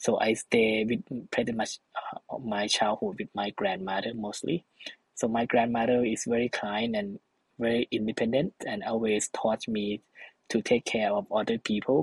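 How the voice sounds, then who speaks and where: A man with a Thai accent, medium pitch, fairly even intonation and a moderate pace, in dry, close sound with no echo. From northeastern Thailand. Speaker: social entrepreneur, travel company founder. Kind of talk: interview conversation. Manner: halting, filler-heavy.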